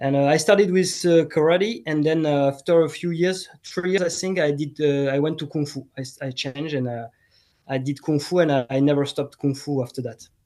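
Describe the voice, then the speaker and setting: With a French accent and a fairly high, dark, mellow voice, a man speaks at a fairly quick pace with ordinary pitch variation against a quiet background. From France, Bordeaux. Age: 40s. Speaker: martial arts teacher. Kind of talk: casual chat. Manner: halting.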